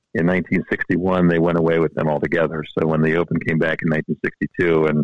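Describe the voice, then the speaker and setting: Recorded with a dry, close sound and no echo, a man speaks at a very deep, low pitch. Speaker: club member, guest. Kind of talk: interview.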